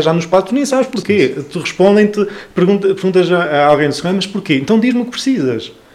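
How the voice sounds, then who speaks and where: Talking at a very fast pace, a man speaks in a high voice. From northern Portugal, Trás-os-Montes (Chaves). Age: 20s. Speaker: cultural association founder. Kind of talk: casual interview. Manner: halting with many fillers.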